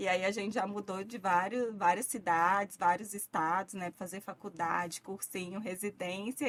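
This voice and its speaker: A moderate pace with hardly any pauses, in a strong Minas Gerais accent. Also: woman. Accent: thick Minas Gerais. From Minas Gerais, Brazil (Vale do Jequitinhonha, near Bahia). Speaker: physician. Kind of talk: interview.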